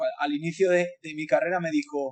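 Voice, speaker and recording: The man's voice sits high in pitch with ordinary pitch variation. The sound is dry and close, with no echo. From Spain. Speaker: design professor. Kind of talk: webinar talk. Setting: online webinar. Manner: talkative, many hesitations.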